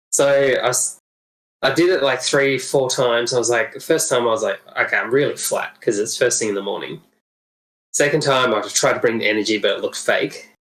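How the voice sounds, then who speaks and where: A man with an Australian accent, at a fairly quick pace. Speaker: podcast co-host, wine industry worker. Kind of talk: casual chat.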